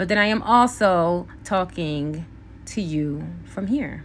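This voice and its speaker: A woman with a fairly low pitch and ordinary pitch variation uses a normal speaking voice. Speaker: beauty vlogger. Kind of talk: casual chat.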